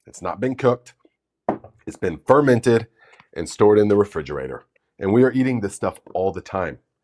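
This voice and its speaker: There is vocal fry in this man's fairly low voice as he talks at a fairly quick pace, broken by long, frequent pauses. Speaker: gardening YouTuber. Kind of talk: live stream Q&A. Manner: casual, halting with fillers.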